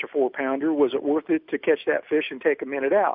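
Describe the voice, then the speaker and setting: A man with an ordinary speaking voice and an American accent talks at a fairly quick pace, his pitch fairly high with ordinary variation. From Oroville, California. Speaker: professional bass angler. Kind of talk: interview.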